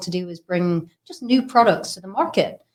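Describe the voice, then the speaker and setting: A woman at a fairly quick pace, in a very clean recording with a silent background. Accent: British. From UK. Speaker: business founder. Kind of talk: interview.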